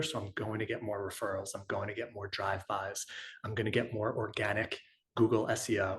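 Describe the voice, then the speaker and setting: Somewhat breathy, a man with an American accent and a medium pitch speaks at a fairly quick pace. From New York. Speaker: chiropractor and business consultant. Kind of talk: webinar presentation. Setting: online webinar with chat. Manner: fast.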